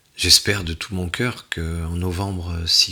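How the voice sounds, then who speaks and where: A bright, sharp tone with monotone, flat intonation. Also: man. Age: 60s. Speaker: tarot card reader. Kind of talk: card reading forecast. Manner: halting.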